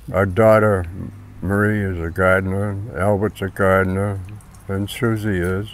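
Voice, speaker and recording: This man talks in a flat monotone at a fairly low pitch and a fairly slow pace. Audible echo from the room surrounds his voice. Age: 90s. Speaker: farmer. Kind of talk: oral history interview. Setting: at home farm, partly outdoors. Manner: halting, with repetitions.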